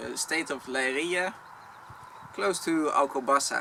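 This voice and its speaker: Speaking at a moderate pace with ordinary pitch variation, this voice carries a Dutch accent. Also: man. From Netherlands. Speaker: vlogger. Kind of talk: Q&A talk to camera.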